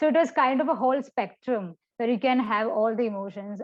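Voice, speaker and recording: Ordinary pitch variation colors the moderate pace of this woman's speech. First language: an Indian language other than Hindi. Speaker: poet. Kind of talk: interview. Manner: hesitant, many fillers.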